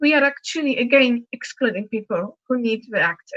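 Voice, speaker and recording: Recorded in a dry, close sound with no echo, a woman with a Polish accent speaks at a moderate pace. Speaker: accessibility advocate panelist. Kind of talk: panel discussion.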